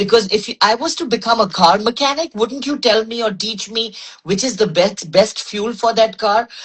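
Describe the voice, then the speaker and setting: A woman talks at a moderate pace in a fairly high pitch. Her voice is somewhat breathy, with ordinary pitch variation. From Pakistan. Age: 60s. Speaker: medical doctor and wellness advocate. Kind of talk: interview conversation. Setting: Instagram live.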